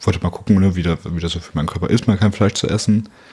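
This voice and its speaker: A man's very deep, low voice in a monotone with flat intonation, at a fairly quick pace, over noticeable background noise. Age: 20s. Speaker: podcast guest, volunteer tour guide. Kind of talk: casual chat. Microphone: poor audio quality.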